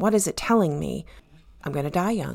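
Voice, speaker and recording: A woman's ordinary speaking voice, fairly low-pitched, in a very clean recording with a silent background. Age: 50s. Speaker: podcast co-host and mentor. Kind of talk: casual chat.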